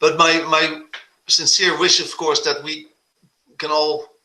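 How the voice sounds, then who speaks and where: At a moderate pace, a man talks with a Dutch accent. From Netherlands. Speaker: composer and conductor. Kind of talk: video call talk. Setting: video call.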